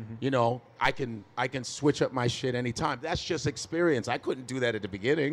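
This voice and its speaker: In an American accent, a man with a normal speaking voice talks at a moderate pace and medium pitch with ordinary pitch variation, on a very clean recording with a silent background. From Chicago, US. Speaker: stand-up comedian. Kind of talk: live podcast interview. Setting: stage with audience.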